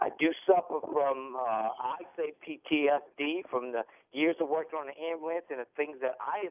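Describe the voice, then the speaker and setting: A man's fairly high voice moves through ordinary pitch changes at a moderate speed. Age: 60s. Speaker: caller, former emergency medical technician. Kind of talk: phone-in call. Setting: phone call. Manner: emotional.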